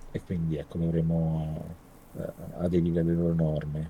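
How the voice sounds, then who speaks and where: Very deep and low in pitch, a man talks in a dark, mellow tone. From Italy, Rome. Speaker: tech entrepreneur, former researcher. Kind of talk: interview. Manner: halting, many fillers and repetitions.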